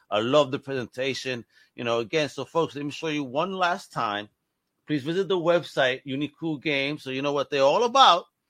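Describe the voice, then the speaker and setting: A man's fairly high voice with a bright, sharp tone and ordinary pitch variation. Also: fairly quick pace. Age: 40s. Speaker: podcast host. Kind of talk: interview. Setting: video call. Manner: animated.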